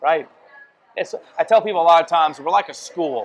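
With a Louisiana accent, a man talks at a fairly quick pace in a high pitch and lively intonation. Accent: Louisiana Southern. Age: 50s. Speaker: family business owner. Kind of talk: casual chat. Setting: restaurant.

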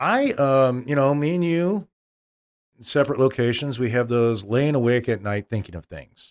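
The speaker has an unremarkable speaking voice with lively intonation. The pace is moderate. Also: man, medium pitch for a man. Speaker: podcast host, school superintendent. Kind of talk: casual chat about cigars, whiskey and sports. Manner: measured, talkative.

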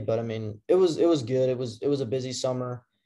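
A man speaks at a moderate pace with a medium pitch. His tone is dark and mellow. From Tennessee, Memphis area. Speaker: college baseball player. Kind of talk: casual interview.

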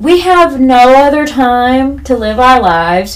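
Lively intonation marks a woman's voice with an American accent, heard with audible room echo. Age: 30s. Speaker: podcast host. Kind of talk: solo casual monologue.

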